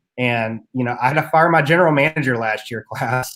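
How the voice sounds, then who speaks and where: On a very clean recording with a silent background, a man with an Appalachian accent talks at a moderate pace in a fairly high pitch. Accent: Appalachian mountain twang. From US South, Southwest Virginia (Appalachia). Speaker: entrepreneur and podcaster. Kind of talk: interview. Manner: casual, conversational.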